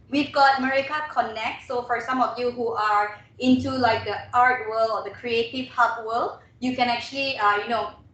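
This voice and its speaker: Her intonation stays fairly even as this woman speaks in a high pitch. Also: hardly any pauses. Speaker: webinar trainer and radio host. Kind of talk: webinar presentation. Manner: fast.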